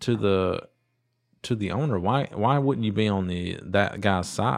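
A man with an American accent talks in a plain, everyday voice at a fairly low pitch. His intonation is lively, and the background is quiet. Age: 30s. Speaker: small business owner. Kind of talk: casual chat.

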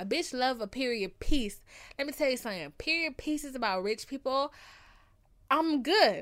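With an animated tone, a woman speaks at a moderate pace and high pitch, her voice making very wide pitch swings. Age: 20s. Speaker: podcast host. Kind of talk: casual monologue answering listener questions. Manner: calm.

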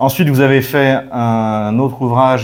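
Very slow pace and fairly even intonation. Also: man. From France. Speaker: geopolitics show host. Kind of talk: interview.

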